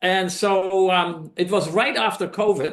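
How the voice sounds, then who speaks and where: Here is a man with a Dutch accent. His pitch is high. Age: 70s. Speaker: documentary filmmaker. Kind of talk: presentation to a club meeting. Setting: meeting room, also streamed on Zoom. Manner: halting, many fillers.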